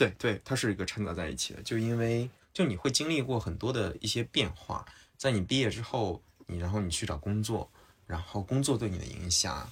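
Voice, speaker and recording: A man's fairly low, somewhat breathy voice at a fairly quick pace, lively in intonation, on a very clean recording with a silent background. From Henan, China. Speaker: tech startup founder. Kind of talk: casual chat. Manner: halting.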